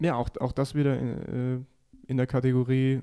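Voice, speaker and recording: Medium in pitch, a man's voice carries a dark, mellow tone. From Upper Bavaria, Geretsried area. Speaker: comedian. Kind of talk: casual chat.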